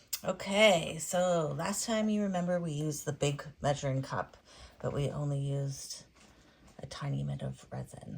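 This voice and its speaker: Calm and gentle in tone, a woman with a very deep, low pitch speaks at a moderate pace and sounds somewhat breathy. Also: ordinary pitch variation. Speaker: resin artist. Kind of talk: tutorial. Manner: calm, gentle pace; casual, chatty.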